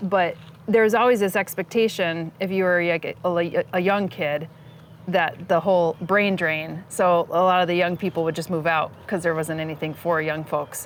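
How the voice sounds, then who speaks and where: In a very clean recording with a silent background, a woman with an American accent has a plain, everyday voice, fairly low in pitch and fairly even in intonation. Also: moderate pace. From northeastern Pennsylvania. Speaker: podcast host. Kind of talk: interview conversation.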